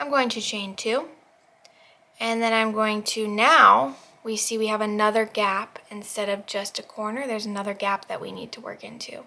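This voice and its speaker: With a normal speaking voice, a woman talks using ordinary pitch variation and big swings in loudness. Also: fairly high pitch for a woman, moderate pace. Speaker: crochet tutorial youtuber. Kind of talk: tutorial. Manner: casual.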